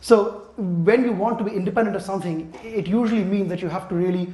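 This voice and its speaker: There is audible room echo as a man speaks at a fairly quick pace with ordinary pitch variation. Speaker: technology consultant presenting. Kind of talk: conference presentation. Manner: fast when excited; hesitant, many fillers.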